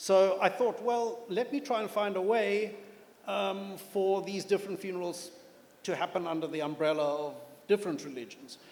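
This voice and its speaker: Noticeable background noise sits behind a man's high-pitched voice. He talks at a moderate pace with ordinary pitch variation. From South Africa. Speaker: novelist. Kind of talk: panel interview at literature festival. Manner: hesitant, with fillers and repeats.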